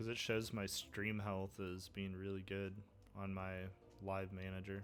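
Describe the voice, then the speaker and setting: With music in the background and audible room echo, a man speaks fairly slowly at a fairly low pitch in monotone, flat intonation. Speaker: gaming streamer. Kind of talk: casual livestream chat. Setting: livestream.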